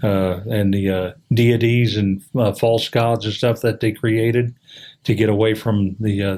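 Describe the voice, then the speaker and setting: Speaking fairly slowly with very even loudness, a man with an American accent and a fairly low pitch keeps a flat, monotone intonation. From US Midwest, Indianapolis. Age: 60s. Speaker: podcast guest. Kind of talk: casual chat. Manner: halting, many fillers.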